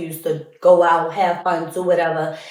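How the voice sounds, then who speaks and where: A woman speaks loudly, with audible room echo around her. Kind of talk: casual monologue.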